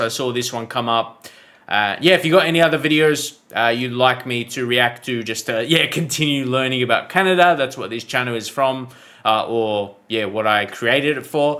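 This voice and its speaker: With an Australian accent, a man speaks at a moderate pace, his medium pitch moving with ordinary variation. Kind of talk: casual talk to camera.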